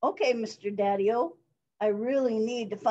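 A person reads aloud in a natural voice, the intonation fairly even. Nothing much is heard behind them.

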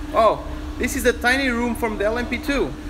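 A man at a moderate pace, with noticeable background noise. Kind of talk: casual vlog chat. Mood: playful, relaxed. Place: garage. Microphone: phone near.

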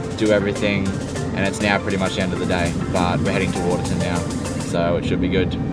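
A man's voice, dry with no echo, over loud music in the background. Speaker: travel vlogger driving. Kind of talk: casual vlog chat. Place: car. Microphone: phone near.

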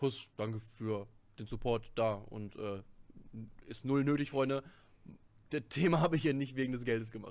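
Faint music plays in the background. The speaker uses ordinary pitch variation. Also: man. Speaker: content creator. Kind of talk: casual commentary to viewers. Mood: sarcastic, amused. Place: home room. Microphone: studio mic.

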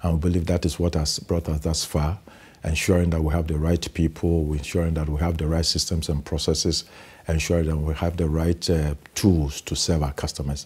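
A man speaks at a very deep, low pitch with a dark, mellow tone that is somewhat breathy. His delivery is fairly quick, monotone and flat. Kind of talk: interview answer. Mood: confident, proud. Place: studio. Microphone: lapel.

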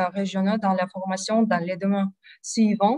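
A woman in a Russian accent, medium in pitch, with a dry sound, no echo and a quiet background. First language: Russian (speaking French). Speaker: university admissions specialist. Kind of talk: presentation. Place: home room. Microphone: video call.

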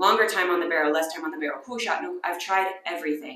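A woman speaks at a very fast pace. Audible room echo surrounds her voice. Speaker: product reviewer. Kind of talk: casual vlog chat. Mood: frank, wry, unimpressed. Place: home room. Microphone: phone near.

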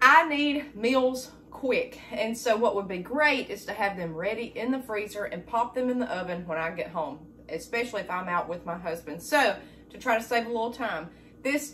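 A woman speaks at a moderate pace with lively intonation. Light background noise can be heard. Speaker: homestead cooking vlogger. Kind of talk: casual vlog chat. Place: kitchen. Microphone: camera far.

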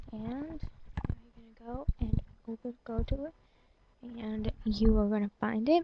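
A woman mumbles at a fairly slow pace with a fairly high pitch, ordinary pitch variation, and long, frequent pauses over noticeable background noise. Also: big swings in loudness. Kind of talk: screen-recording software tutorial. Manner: mumbly, hesitant.

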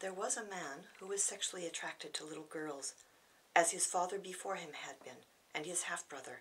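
A woman with an American accent speaks at a fairly quick pace, fairly low in pitch. Her pitch variation is ordinary, while her loudness swings widely. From California, United States. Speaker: poet. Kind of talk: poetry reading. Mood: grave, measured. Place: home room. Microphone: camera far.

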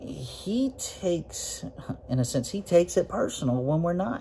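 Light background noise under a man's moderate pace. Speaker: preacher or Bible teacher. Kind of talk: sermon. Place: office. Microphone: phone near.

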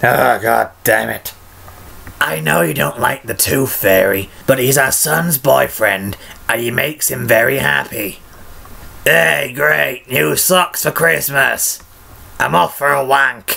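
Put-on character voice from a man, gravelly and raspy, medium in pitch, at a fairly slow pace.

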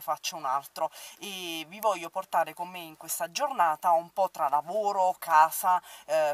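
A woman with a fairly low pitch and ordinary pitch variation speaks in a dry sound with no echo. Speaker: makeup vlogger. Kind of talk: casual vlog chat. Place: car. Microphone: phone near.

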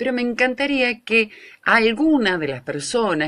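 A woman's fairly slow speech, bright and sharp in tone, with very wide pitch swings over a quiet background. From Argentina. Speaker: radio host. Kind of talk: radio show host talking on air. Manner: chatty, informal. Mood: earnest, pleading, animated. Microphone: earbuds.

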